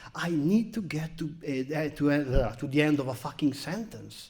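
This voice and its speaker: With a strong Italian accent, a man of fairly high pitch speaks in a dark, mellow tone with very wide pitch swings. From Italy. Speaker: comedian. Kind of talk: stand-up. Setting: stage with audience.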